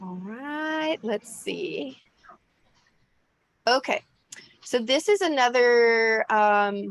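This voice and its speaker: A woman's high-pitched voice at a very slow pace, with long, frequent pauses, very wide pitch swings and big swings in loudness, in a dry, close sound with no echo. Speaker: travel group organizer, channel host. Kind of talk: casual interview.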